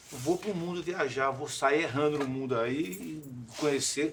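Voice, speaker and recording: Through noticeable background noise, a man talks in a fairly high voice. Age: 60s. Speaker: clown. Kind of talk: casual chat. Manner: halting.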